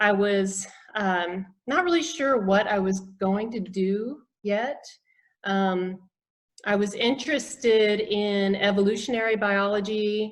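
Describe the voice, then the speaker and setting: A woman with an American accent speaks very slowly at a medium pitch, with ordinary pitch variation. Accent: faint Southern US, comes out occasionally. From US South, south Georgia. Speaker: naturopathic physician. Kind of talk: interview.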